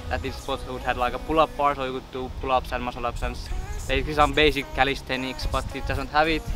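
A man talks at a fairly quick pace, and the sound is dry with no echo. Music plays clearly behind him. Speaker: fitness vlogger. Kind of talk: casual vlog chat. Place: open country.

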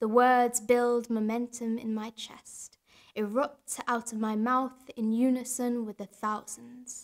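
Very slow, monotone and flat speech from a woman, fairly high in pitch, with big swings in loudness and a quiet background. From Yorkshire, England. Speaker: poet. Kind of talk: poetry reading. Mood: calm, reflective, warm. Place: studio.

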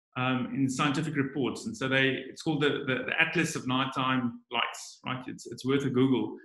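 A man speaks in a fairly high voice against a quiet background. Audible room echo fills the space. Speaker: biologist; guest. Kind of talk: online presentation. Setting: video call. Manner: halting, many fillers and repetitions. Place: home room. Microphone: webcam.

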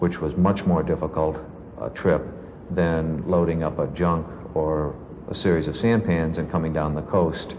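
With noticeable background noise behind him, a man speaks in a very deep, low pitch with fairly even intonation. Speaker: war veteran. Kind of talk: interview answer.

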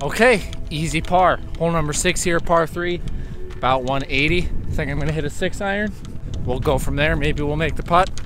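Clear music plays in the background as a man speaks at a moderate pace, with a dry sound and no echo. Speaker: golfer vlogger. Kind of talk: casual vlog chat. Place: open country. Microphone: phone near.

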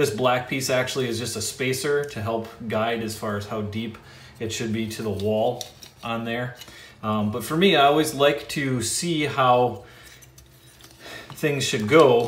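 Fairly slow speech with audible room echo. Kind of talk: tutorial.

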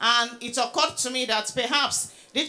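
A woman's voice at a moderate pace, with fairly even intonation. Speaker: presenter. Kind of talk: lecture. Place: hall. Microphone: handheld.

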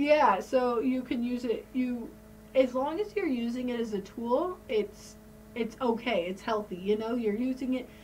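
The delivery is fairly slow, with ordinary pitch variation and light background noise. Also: woman, high pitch for a woman. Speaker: podcast host. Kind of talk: casual podcast conversation. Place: home room. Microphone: studio mic.

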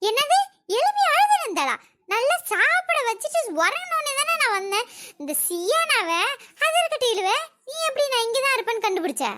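A woman does a cartoonish character voice, squeaky and extremely high, with very wide pitch swings at a moderate pace. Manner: scornful, self-righteous.

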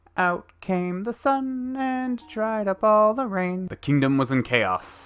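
A man is speaking. Music plays in the background. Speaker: story reader. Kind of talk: read story.

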